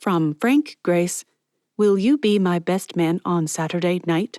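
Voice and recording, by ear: A robotic, put-on character voice that sounds female speaks at a medium pitch for a woman and a fairly slow pace.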